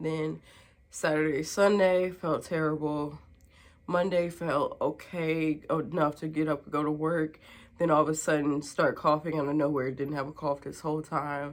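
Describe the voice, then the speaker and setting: The delivery is monotone and flat at a moderate pace, recorded very cleanly against a silent background. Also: woman, very deep, low pitch for a woman. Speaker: vlogger. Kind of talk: casual vlog talk. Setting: at home.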